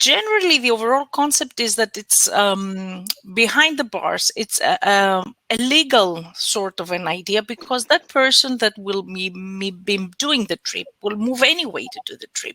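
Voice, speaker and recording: A bright, sharp voice in a Greek accent at a moderate pace, with lively intonation, big swings in loudness, and a dry, close sound with no echo. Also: woman, fairly high pitch for a woman. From Greece. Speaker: research project expert. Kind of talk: conference Q&A answer. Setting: web conference. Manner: halting, many fillers.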